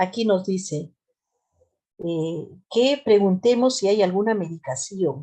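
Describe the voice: A woman with a Peruvian Andean accent, slow and lively in intonation, her dark, mellow tone carrying a slightly husky edge. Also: medium pitch for a woman.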